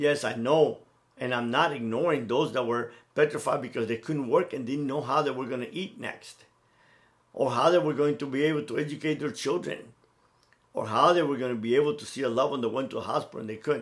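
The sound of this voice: A man talks at a fairly quick pace in a medium-pitched voice. His pitch varies in an ordinary way.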